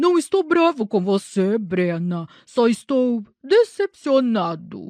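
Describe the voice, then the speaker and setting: In a put-on character voice, a woman speaks at a fairly slow pace with a fairly high pitch and very wide pitch swings. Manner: mocking, feigning calm disappointment.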